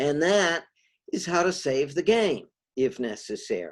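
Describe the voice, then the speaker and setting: The delivery is very slow, with very wide pitch swings. The recording is very clean, with a silent background. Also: man. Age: 70s. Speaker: game design teacher. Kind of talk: lecture. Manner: halting.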